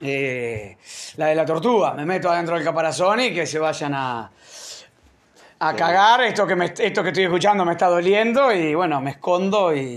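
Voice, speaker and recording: A man's high-pitched voice keeps to a moderate pace. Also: lively intonation. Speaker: podcast host. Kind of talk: casual chat.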